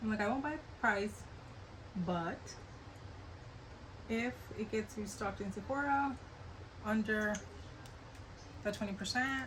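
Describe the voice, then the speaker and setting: A woman's fairly high voice with an American accent, at a fairly slow pace with long, frequent pauses and ordinary pitch variation, amid audible room echo and noticeable background noise. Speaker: beauty vlogger. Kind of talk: casual get-ready-with-me chat. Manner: chatty, casual with hesitations.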